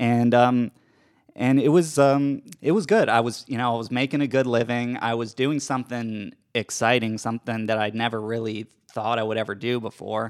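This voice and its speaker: In a normal speaking voice, the delivery runs at a moderate pace with fairly even intonation on a very clean recording with a silent background. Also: man, medium pitch for a man. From US South (Georgia). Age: 30s. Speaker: radio studio producer. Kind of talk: casual chat. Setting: studio.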